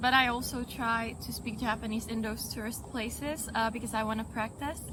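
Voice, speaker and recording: Audible room echo surrounds a woman speaking at a moderate pace in a fairly high pitch with monotone, flat intonation. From Czech Republic, Prague. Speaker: tourist interviewee. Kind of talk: street interview.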